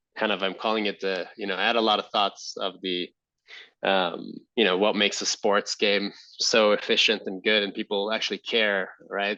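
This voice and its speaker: A man's fairly low, bright and sharp voice in an Israeli accent, flat and monotone, against a quiet background. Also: moderate pace. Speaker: entrepreneur and army veteran. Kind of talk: podcast interview. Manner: halting, many fillers.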